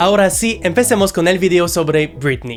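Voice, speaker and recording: Over music in the background, a man with a French Canadian accent speaks at a moderate pace in a fairly high voice. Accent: French-Canadian accent in Spanish, noticeable. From Quebec, Canada. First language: French (speaking Spanish). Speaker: pop music YouTuber. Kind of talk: video essay narration.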